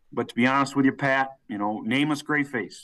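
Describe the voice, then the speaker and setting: A man speaks with an unremarkable speaking voice at medium pitch and a fairly quick pace. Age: 30s. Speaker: college football head coach. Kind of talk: interview.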